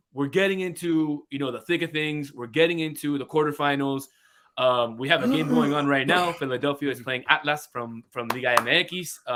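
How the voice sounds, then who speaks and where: This man has a plain, everyday voice with an American accent, a fairly high pitch, ordinary pitch variation and a moderate pace. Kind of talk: sports commentary podcast.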